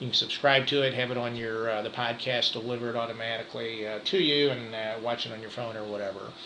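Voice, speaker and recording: A man with an American accent speaks fairly quickly at a medium pitch, his intonation monotone and flat. Noticeable background noise runs underneath. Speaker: real estate broker. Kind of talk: market update presentation. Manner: fast; halting, many fillers.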